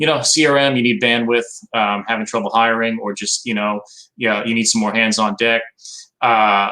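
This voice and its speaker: With a New York accent, a man speaks at a moderate pace in a bright, sharp tone, his medium pitch holding fairly even intonation. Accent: Staten Island. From New York, Staten Island. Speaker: marketing company executive. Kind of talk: casual interview chat. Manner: calm, soothing; direct, assured.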